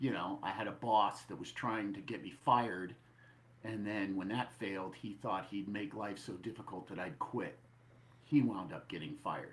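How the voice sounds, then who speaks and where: Ordinary pitch variation and a moderate pace from a man with a fairly low voice. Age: 60s. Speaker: author and screenwriter. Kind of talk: coaching session. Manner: halting.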